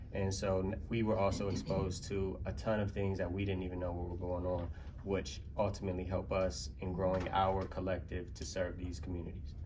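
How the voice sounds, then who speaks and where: With an American accent, a man talks at a fairly quick pace with hardly any pauses, his very deep, low voice dark and mellow with vocal fry, ordinary pitch variation and audible room echo. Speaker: community arts partner. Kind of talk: conference panel presentation. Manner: fast.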